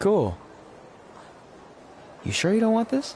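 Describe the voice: Putting on a character voice, a man speaks slowly and high for a man, with a slightly mellow tone and very wide pitch swings.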